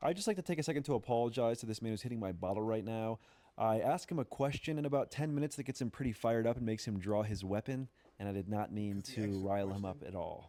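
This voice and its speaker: Very fast speech from a man with an American accent, medium in pitch and dark, mellow in tone, in a very clean recording with a silent background. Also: ordinary pitch variation. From Maryland, Carroll County. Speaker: YouTube interviewer narrating. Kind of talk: voiceover narration.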